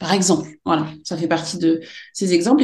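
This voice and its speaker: A somewhat breathy woman at a medium pitch, with ordinary pitch variation. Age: 40s. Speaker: special education teacher. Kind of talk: interview. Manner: halting.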